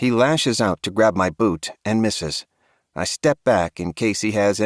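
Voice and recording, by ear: Ordinary pitch variation while reading aloud in a natural voice, in a quiet setting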